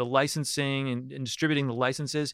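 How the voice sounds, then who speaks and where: In a dry, close sound with no echo and a silent background on a very clean recording, a man with an ordinary speaking voice uses a medium pitch and fairly even intonation. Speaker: podcast host and cannabis lawyer. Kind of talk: interview conversation. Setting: studio.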